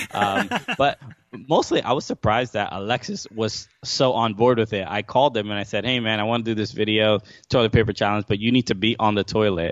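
Talking at a fairly quick pace, a man with an American accent holds a fairly low pitch and fairly even intonation. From New York, Brooklyn. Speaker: comedian and podcast host. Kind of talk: casual chat. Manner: halting, many fillers and repeats.

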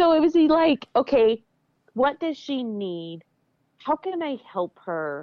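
With an American accent, a woman talks at a very slow pace in a high pitch, her voice making very wide pitch swings. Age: 40s. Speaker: weightlifting champion. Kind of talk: interview.

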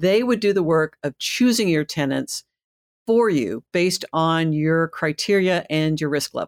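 An ordinary speaking voice with lively intonation at a fairly slow pace, dry and close with no echo on a very clean recording with a silent background. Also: woman, fairly low pitch for a woman. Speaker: podcast host. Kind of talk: casual chat.

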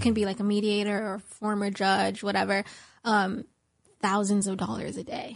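A plain, everyday voice from a woman, fairly high in pitch, at a moderate pace, over a quiet background. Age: 20s. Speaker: guest speaking out about a legal case. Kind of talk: interview.

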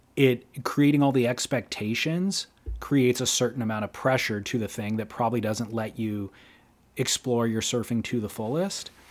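With an American accent and a plain, everyday voice, a man speaks at a moderate pace with ordinary pitch variation. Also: medium pitch for a man. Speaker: surf podcast co-host. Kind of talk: casual chat.

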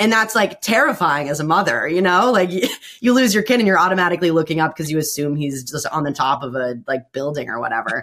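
A woman with an American accent at a very fast pace and fairly low pitch, very wide pitch swings and hardly any pauses. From Bloomington, Indiana. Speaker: sports broadcaster, former college volleyball player. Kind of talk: casual chat.

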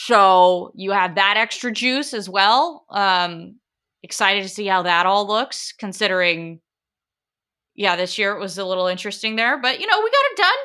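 On a very clean recording with a silent background, a woman with an American accent speaks at a moderate pace in a medium pitch, her tone bright and sharp and her pitch variation ordinary. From Portland, Oregon. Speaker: sports anchor and reporter. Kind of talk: casual chat.

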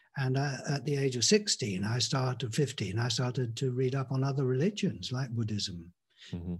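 A man with an English accent, medium-pitched and somewhat breathy, at a moderate pace. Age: 60s. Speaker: spiritual teacher. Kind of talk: casual interview. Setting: video call.

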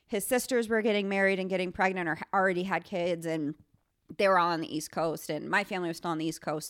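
In an American accent, a woman speaks at a medium pitch with ordinary pitch variation and an ordinary speaking voice, on a very clean recording with a silent background. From upstate New York, near Syracuse. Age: 30s. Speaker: marketing freelancer and fitness instructor. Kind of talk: casual chat.

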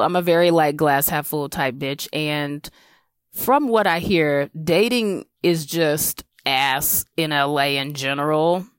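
A woman with an American accent speaks at a very slow pace with ordinary pitch variation. The very clean recording has a silent background and a dry, close sound with no echo. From South Carolina. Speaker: comedian. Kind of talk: comedic personal story.

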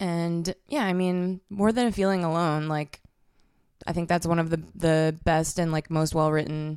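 A woman with an American accent speaks in a plain, everyday voice, fairly slow, at a fairly low pitch with fairly even intonation. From Massachusetts, north of Boston. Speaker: musician. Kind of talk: casual chat.

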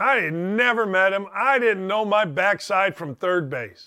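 A man projects a raised voice in a very clean recording with a silent background. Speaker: sports radio host. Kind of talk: casual chat. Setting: studio. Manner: animated.

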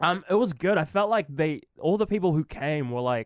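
A man with a New Zealand accent, lively intonation and a moderate pace on a very clean recording with a silent background. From Philippines, then New Zealand. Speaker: comedian. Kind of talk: casual chat. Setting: studio.

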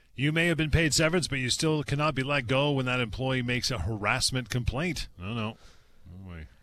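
A man's bright, sharp tone at medium pitch, lively intonation over a quiet background. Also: fairly quick pace. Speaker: radio host. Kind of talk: radio call-in show. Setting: studio.

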